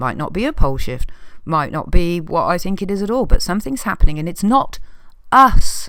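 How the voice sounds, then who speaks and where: A woman talks at a fairly quick pace and a medium pitch, her tone bright and sharp. Her pitch swings very widely, and her loudness rises and falls in big swings. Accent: English. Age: 60s. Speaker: video blogger. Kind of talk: casual rant to camera. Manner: animated.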